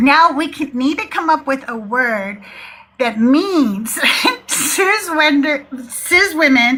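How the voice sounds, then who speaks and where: Amid noticeable background noise, a woman speaks very slowly in a raised, projected voice, high in pitch and with lively intonation. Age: 60s. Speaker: atheist call-in show host. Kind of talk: live call-in chat. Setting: live stream. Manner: animated.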